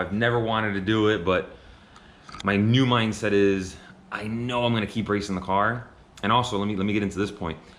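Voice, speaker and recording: With audible room echo around him, a man talks at a fairly quick pace in a fairly low pitch with fairly even intonation. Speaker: car racing vlogger. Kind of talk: casual vlog talk to camera. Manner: casual, hesitant with fillers.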